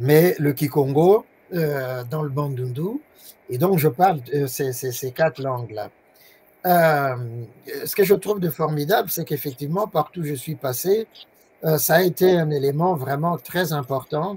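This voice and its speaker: Speaking at a fairly slow pace with long, frequent pauses, a man with a Swahili accent has a fairly high, somewhat breathy voice and ordinary pitch variation. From DR Congo. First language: Swahili (speaking French). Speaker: professor. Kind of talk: interview. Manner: halting.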